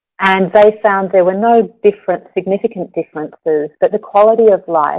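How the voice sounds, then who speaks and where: A woman with an Australian accent speaks in a dark, mellow tone, the sound dry and close with no echo. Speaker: yoga therapist. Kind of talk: webinar presentation. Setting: webinar.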